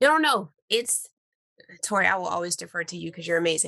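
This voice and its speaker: This woman has an American accent and a fairly low pitch. Her tone is bright and sharp. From US Northeast, New York suburbs. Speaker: science teacher. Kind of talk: panel discussion.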